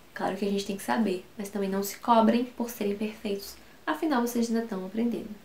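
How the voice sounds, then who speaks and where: Over noticeable background noise, a woman with a Brazilian accent talks at a very fast pace and a fairly high pitch, with ordinary pitch variation. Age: 20s. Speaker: English teacher. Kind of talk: tutorial.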